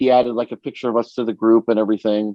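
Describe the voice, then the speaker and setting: A man speaks with a New York accent at a medium pitch. His intonation is flat and monotone. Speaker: podcast co-host. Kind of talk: casual chat. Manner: halting, many fillers.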